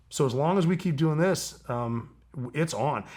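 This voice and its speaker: A man's fairly high, somewhat breathy, animated voice with ordinary pitch variation on a very clean recording with a silent background. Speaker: former special operations soldier. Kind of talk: casual interview conversation. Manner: fast.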